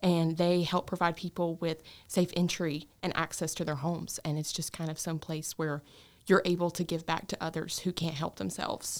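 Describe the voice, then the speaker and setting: A woman with a Southern US accent, fairly low in pitch, flat and monotone, at a moderate pace on a very clean recording with a silent background. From North Carolina, Gaston County. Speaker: nursing student. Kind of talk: casual interview.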